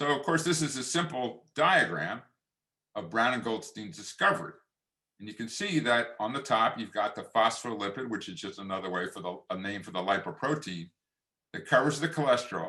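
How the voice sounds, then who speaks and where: With a Philadelphia accent, a man at a medium pitch talks fairly quickly in a bright, sharp tone, his pitch swinging very widely and his loudness rising and falling sharply. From Philadelphia area, Pennsylvania. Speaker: physician and author. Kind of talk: lecture. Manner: formal.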